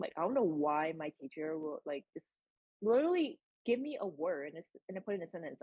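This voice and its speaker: A fairly low-pitched woman's voice at a fairly quick pace. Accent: Californian. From San Francisco Bay Area. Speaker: college student. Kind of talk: casual chat. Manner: stutters a little.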